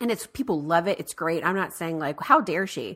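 Here is an unremarkable speaking voice with lively intonation. A woman at a medium pitch is heard on a very clean recording with a silent background. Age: 30s. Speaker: podcast host. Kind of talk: casual chat.

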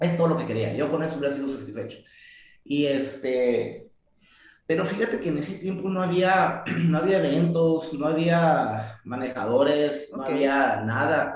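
The voice is somewhat breathy. There is audible room echo. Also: man, fairly high pitch for a man, ordinary pitch variation, moderate pace. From Mexico, Tijuana. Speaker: martial arts coach. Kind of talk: interview.

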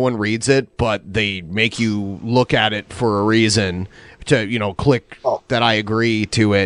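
At a moderate pace, a man with an unremarkable speaking voice talks in a medium pitch with fairly even intonation against a quiet background. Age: 30s. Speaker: podcast host. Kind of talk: casual chat. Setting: live stream.

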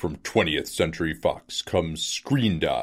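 At a fairly slow pace, a man puts on a character voice. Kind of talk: trailer announcer voice. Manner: dramatic, grand.

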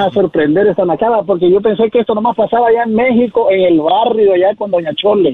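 A man's high-pitched voice shows ordinary pitch variation as he keeps a moderate pace. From Mexico. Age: 40s. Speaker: caller. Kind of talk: phone call.

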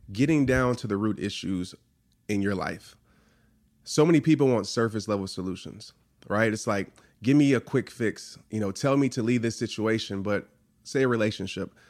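Recorded very cleanly with a silent background, a man with an American accent speaks at a moderate pace with ordinary pitch variation. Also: long, frequent pauses. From New Orleans and Fort Worth, Texas. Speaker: motivational speaker, former football player. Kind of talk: interview.

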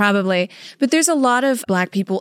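In a plain, everyday voice, a woman speaks at a moderate pace with medium pitch and lively intonation, the sound dry and close with no echo in a very clean recording with a silent background. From Louisiana, US South. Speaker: podcast co-host. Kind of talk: casual chat, personal storytelling.

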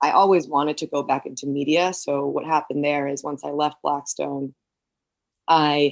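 The voice has an American accent. It moves at a moderate pace. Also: woman. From New York City. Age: 20s. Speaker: media executive. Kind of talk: interview.

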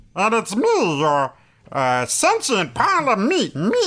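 Someone uses a put-on character voice, pitched fairly high and paced fairly slowly. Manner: silly.

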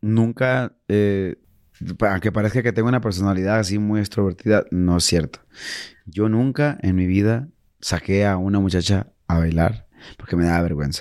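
With a normal speaking voice, a man speaks at a moderate pace and fairly low pitch, with ordinary pitch variation and very even loudness, in a very clean recording with a silent background. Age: 40s. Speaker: singer. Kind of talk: casual chat.

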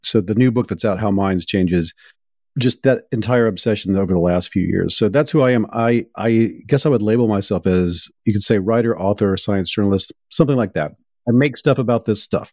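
Speaking in a normal speaking voice with an American accent, a man talks at a fairly quick pace with a fairly low pitch and ordinary pitch variation, the sound dry and close with no echo on a very clean recording with a silent background. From US Deep South. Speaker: journalist and podcast host, author. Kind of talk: interview conversation.

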